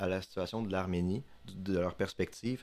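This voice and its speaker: A moderate pace, ordinary pitch variation and an ordinary speaking voice from a man. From Quebec, Saguenay (Chicoutimi). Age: 20s. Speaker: student, podcast columnist. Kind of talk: casual podcast chat.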